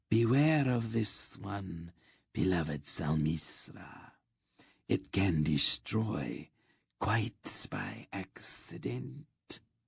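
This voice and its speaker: A man's put-on character voice, very deep and low in pitch, at a very slow pace with hissing over a quiet background. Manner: ominous, warning.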